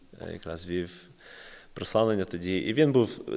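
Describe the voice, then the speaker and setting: A man is talking here. The pitch moves with ordinary variation. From Kyiv, Ukraine (American-born, moved at 6). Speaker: missionary and worship musician. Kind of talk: casual chat.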